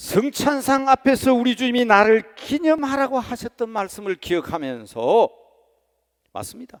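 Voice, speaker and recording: An extremely high-pitched man talks at a fairly slow pace with ordinary pitch variation, in a dry, close sound with no echo. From rural Korea. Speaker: senior pastor. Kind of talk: sermon. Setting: church. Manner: impassioned.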